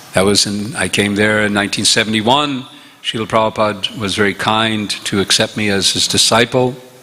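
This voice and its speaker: Fairly quick, fairly evenly intoned speech with an American accent over noticeable background noise. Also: man, fairly low pitch for a man. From upstate New York, US. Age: 70s. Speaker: visiting monk lecturer. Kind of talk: religious lecture.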